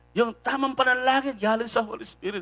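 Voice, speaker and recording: An animated man with a Filipino accent and a bright, sharp tone. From Philippines. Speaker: preacher. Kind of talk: sermon. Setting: online live stream. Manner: exhortative. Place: church. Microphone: handheld.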